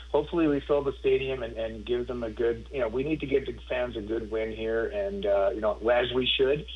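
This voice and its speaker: A man with a Canadian accent at a fairly quick pace. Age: 50s. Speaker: former football player. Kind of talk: casual chat.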